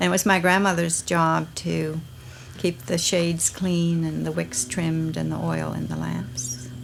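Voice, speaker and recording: Against noticeable background noise, a woman with an American accent and a very deep, low pitch speaks fairly slowly with very wide pitch swings. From US, southern Maryland. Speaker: family member in documentary. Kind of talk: reminiscing interview.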